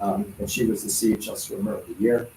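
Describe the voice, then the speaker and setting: A somewhat breathy voice with a dark, mellow tone. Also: man. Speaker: school district official. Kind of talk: presentation to village council. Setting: council meeting. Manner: fast.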